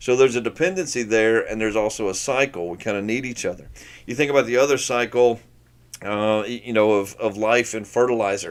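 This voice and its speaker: Speaking at a fairly quick pace, the man varies his pitch in an ordinary way. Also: medium pitch for a man. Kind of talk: teaching talk. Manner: fast.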